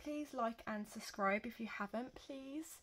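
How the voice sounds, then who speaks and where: With a British accent, a woman speaks at a moderate pace and fairly high pitch, showing ordinary pitch variation on a very clean recording with a silent background. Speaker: journaling YouTuber. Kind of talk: casual show-and-tell vlog. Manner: hesitant, many fillers.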